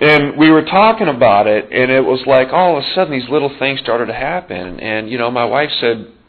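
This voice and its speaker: A man with an unremarkable speaking voice speaks at a fairly quick pace. His medium pitch moves with lively intonation. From Montana. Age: 40s. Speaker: support group leader. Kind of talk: recovery meeting share. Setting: meeting room with audience and microphone.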